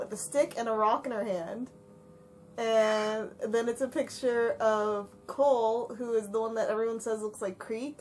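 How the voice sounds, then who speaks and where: Using a normal speaking voice, a woman talks at a fairly slow pace with a fairly high pitch and fairly even intonation. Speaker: fandom Q&A podcast host. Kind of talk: casual Q&A chat. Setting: voice call.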